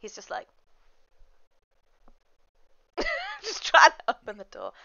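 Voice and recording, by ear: Bright and sharp in tone, a woman's extremely high voice makes very wide pitch swings, with vocal fry, at a moderate pace.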